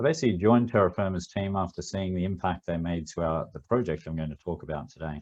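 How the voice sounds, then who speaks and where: The man's voice sits at a very deep, low pitch. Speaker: business continuity consultant. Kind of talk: webinar presentation. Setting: online webinar, video off.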